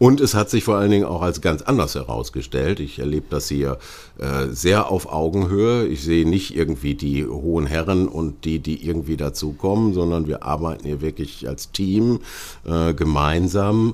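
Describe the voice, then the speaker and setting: With noticeable background noise behind him, a man talks at a moderate pace in a very deep, low pitch with lively intonation. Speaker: podcast host. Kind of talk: interview.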